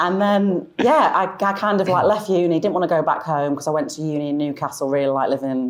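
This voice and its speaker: A woman with a Manchester accent speaks at a fairly quick pace in a very deep, low voice with lively intonation. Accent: Mancunian, kept after 20 years in the south. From Manchester, northern England. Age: 40s. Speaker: fashion influencer. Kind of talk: interview.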